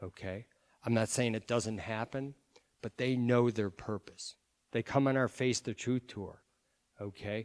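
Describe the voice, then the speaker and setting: Pausing long and often, a man speaks at medium pitch and a fairly slow pace with fairly even intonation. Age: 60s. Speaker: pro-life speaker. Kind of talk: public talk.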